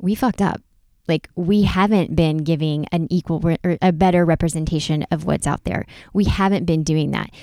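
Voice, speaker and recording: Recorded very cleanly with a silent background and a dry, close sound with no echo, a woman with an American accent and a fairly low voice with a dark, mellow tone speaks at a moderate pace with fairly even intonation. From North Carolina, US South. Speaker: podcast co-host. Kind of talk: casual chat.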